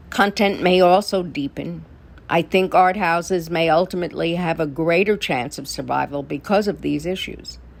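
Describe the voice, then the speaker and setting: A woman talks at a moderate pace with a fairly low pitch. Her voice shows vocal fry and ordinary pitch variation. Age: 80s+. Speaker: actress and filmmaker. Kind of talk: prepared segment statement.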